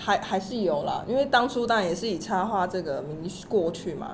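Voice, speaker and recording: With audible room echo, a woman talks at a fairly quick pace and a medium pitch, her pitch variation ordinary. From Taiwan. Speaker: illustrator. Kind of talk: interview.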